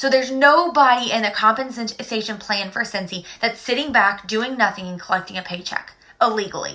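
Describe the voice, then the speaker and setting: A bright, sharp, animated tone at a fairly quick pace, with ordinary pitch variation. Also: woman. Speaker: direct sales director. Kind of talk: sales pitch. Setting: live stream. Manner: fast.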